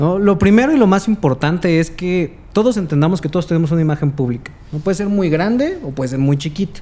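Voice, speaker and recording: The speaker races along at a very fast pace with hardly any pauses and lively intonation. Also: man, high pitch for a man. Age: 20s. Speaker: communication analyst and content creator; podcast guest, communication analyst. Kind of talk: casual interview. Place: studio. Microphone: studio mic.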